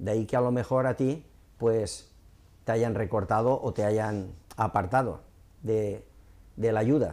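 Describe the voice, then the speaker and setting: A man with a dark, mellow tone talks at a fairly slow pace, his loudness very even and his intonation fairly even, with long, frequent pauses. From Torrent, Valencia, Spain; Valencia, Spain. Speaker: local politician; local party spokesman. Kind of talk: interview. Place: studio. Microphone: lapel.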